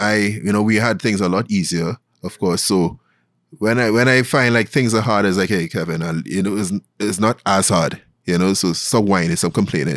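A man with a Trinidadian accent speaks at a moderate pace and fairly low pitch, with ordinary pitch variation. The recording is very clean, with a silent background. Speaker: investment banker and podcast host. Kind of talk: casual interview. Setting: studio.

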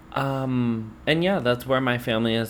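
Using an animated tone, a man with an American accent speaks at a moderate pace. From Pennsylvania, around Philadelphia. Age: 20s. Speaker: podcast co-host, hairdresser. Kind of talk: casual chat. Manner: animated, laughing often.

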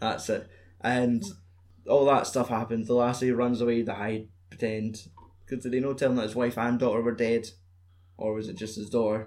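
Using a Scottish accent, a man talks at a moderate pace in monotone, flat intonation, with long, frequent pauses. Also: medium pitch for a man. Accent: Scottish (Fife). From Fife, Scotland. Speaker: podcast host. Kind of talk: casual chat. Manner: joking, swearing.

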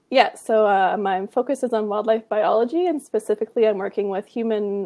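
A woman with a western Canadian accent speaks at a fairly quick pace and fairly high pitch, with ordinary pitch variation. The sound is dry and close, with no echo. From Canada, British Columbia (Kamloops). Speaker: graduate student, wildlife biologist. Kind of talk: interview.

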